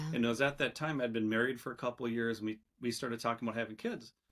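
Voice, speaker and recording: A man speaks with a Minnesotan accent. His medium-pitched voice has fairly even intonation. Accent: Minnesota. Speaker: entrepreneur. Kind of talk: podcast interview. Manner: casual, hesitant with fillers.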